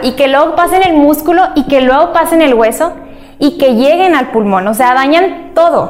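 Over noticeable background noise, a woman with a high pitch talks at a fairly slow pace with ordinary pitch variation. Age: 20s. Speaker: medical intern.

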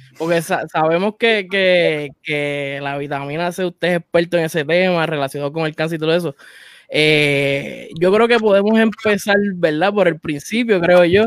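A man's high voice with ordinary pitch variation, recorded dry and close with no echo. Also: moderate pace. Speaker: podcast host. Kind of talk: interview; show introduction.

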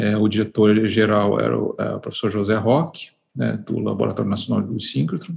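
A man speaks at a moderate pace in a fairly low pitch. Vocal fry runs through his voice. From Brazil, Curitiba, Paraná. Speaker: physicist and laboratory director. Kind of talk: interview. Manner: hesitant, many fillers.

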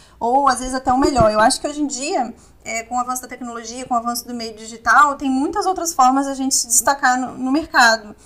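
A woman's high voice at a very fast pace, with ordinary pitch variation, over noticeable background noise. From Vitória, Espírito Santo, Brazil. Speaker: oral surgery resident. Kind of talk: interview.

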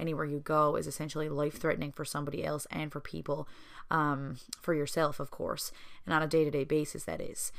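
A woman with a Newfoundland accent, very deep and low in pitch, at a fairly quick pace with monotone, flat intonation. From Newfoundland, Southern Shore. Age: 20s. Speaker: podcast host and small business owner. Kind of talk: solo podcast monologue. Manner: casual, chatty with fillers.

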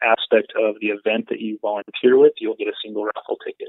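With an American accent, the man talks. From Northern California. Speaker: off-road event founder. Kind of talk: phone interview. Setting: phone call.

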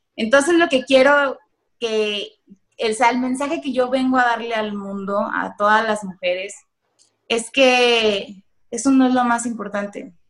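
Speaking at a fairly slow pace with a Mexican accent, a woman uses a fairly high pitch and ordinary pitch variation. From Mexico, Michoacán. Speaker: entrepreneur. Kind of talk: interview. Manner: halting.

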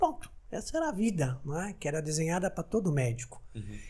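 A man speaks at a fairly quick pace. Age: 50s. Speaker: cardiologist, medical society president. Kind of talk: podcast interview.

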